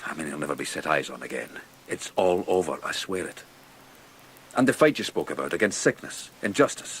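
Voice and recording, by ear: This man puts on a character voice with an extremely low pitch and a fairly bright tone. His pitch swings widely and he talks at a fairly quick pace.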